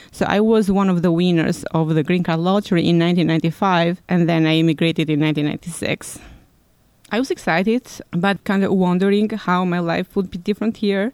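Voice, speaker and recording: A woman speaks in an Albanian accent with fairly low pitch. Her pace is moderate and her intonation fairly even. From Albania, Tirana. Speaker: immigrant interviewee working in law. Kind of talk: personal storytelling interview.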